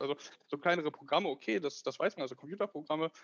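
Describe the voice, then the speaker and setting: Here a man talks very fast. The variation in his pitch is ordinary. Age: 20s. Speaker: tech startup founder. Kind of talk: interview. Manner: hesitant, many fillers.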